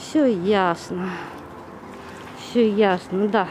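A woman's slightly mellow tone comes through over faint background noise.

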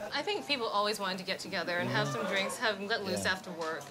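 A woman at medium pitch talks at a very fast pace with lively intonation. Music plays behind her. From Canada. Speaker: TV host. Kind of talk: interview answer.

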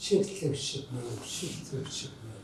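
Both an audible room echo and noticeable background noise are present in the clip. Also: man. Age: 80s+. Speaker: landlord. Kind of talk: street interview. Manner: agitated.

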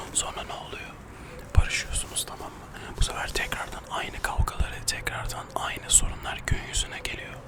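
Whispering at a moderate pace, a man swings widely in loudness over noticeable background noise. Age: 20s. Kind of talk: ASMR casual chat to camera.

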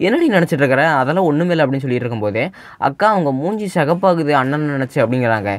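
Using an unremarkable speaking voice, a man talks at a fairly high pitch with ordinary pitch variation. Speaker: anime recap narrator. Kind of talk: anime episode recap narration. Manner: casual, conversational.

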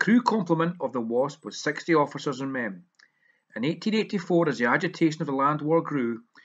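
This man has a fairly high pitch and lively intonation, in an unremarkable speaking voice. He talks at a moderate pace. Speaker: video blogger and local history storyteller. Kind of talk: history documentary narration, scripted-sounding storytelling. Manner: measured, formal, steady narrator's pace, earnest and solemn on tragic parts.

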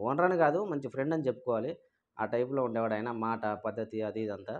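A man with a medium pitch speaks in a Telangana accent. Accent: Telangana Telugu. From Telangana, Siddipet district (formerly Karimnagar). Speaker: truck owner-driver vlogger. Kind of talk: personal story vlog. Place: home room. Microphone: lapel.

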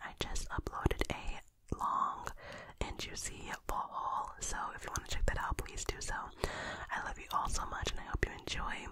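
A woman is speaking. She whispers. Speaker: ASMR creator. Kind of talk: ASMR whisper intro. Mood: warm, affectionate. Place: home room. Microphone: studio mic.

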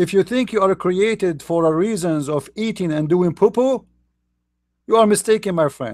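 With an Arabic accent, a man speaks at a high pitch and moderate pace with ordinary pitch variation, the sound dry and close with no echo. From Middle East. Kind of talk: online commentary talk.

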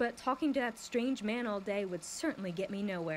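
What you hear is plain reading aloud.

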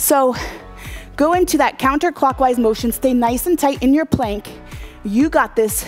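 Faint music sits behind a woman who speaks at a moderate pace with a high pitch, ordinary pitch variation and very even loudness. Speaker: fitness instructor. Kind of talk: workout coaching. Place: garage. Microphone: lapel.

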